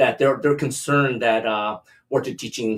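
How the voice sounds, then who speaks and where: A man with a Canadian accent has an unremarkable speaking voice. He talks at a moderate pace with ordinary pitch variation. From Canada. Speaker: podcast co-host. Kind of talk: casual chat.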